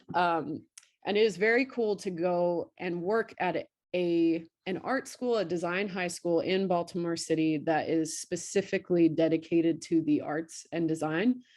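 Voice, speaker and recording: At a moderate pace, a woman with a Virginia accent speaks at a fairly low pitch with ordinary pitch variation against a quiet background. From rural central Virginia. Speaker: high school art teacher. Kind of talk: panel presentation. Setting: video call. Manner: casual, many filler ums.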